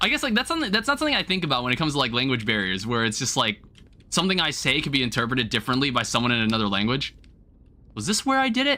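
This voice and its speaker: Talking very fast, a man uses a medium pitch that swings very widely. His tone is bright and sharp. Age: 20s. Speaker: gaming streamer. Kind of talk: live gameplay stream commentary. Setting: live stream. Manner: casual, conversational.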